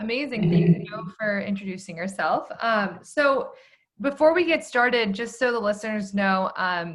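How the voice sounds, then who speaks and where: With lively intonation, a woman speaks in a somewhat breathy voice at a fairly high pitch. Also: moderate pace. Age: 20s. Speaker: podcast host. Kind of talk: podcast interview.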